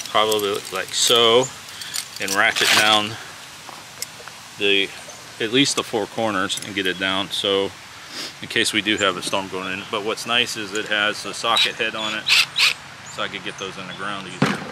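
A man at a moderate pace, with long, frequent pauses, over loud background noise. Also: dry sound with no echo. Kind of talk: casual vlog chat. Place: forest.

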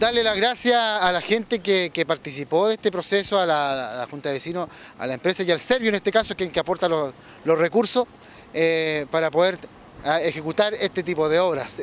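At a moderate pace, a man speaks over light background noise in a dry sound with no echo. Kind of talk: interview answer. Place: street. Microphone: handheld.

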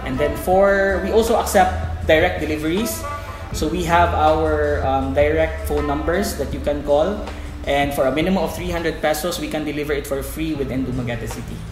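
A man talks fairly quickly while clear music plays in the background. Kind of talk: promotional presentation to camera. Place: cafe.

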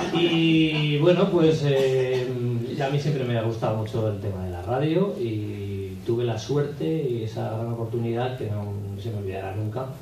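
Over noticeable background noise and audible room echo, a man speaks at a medium pitch with lively intonation. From Aragon, Spain. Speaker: radio announcer and impressionist. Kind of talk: radio interview answer. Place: hall.

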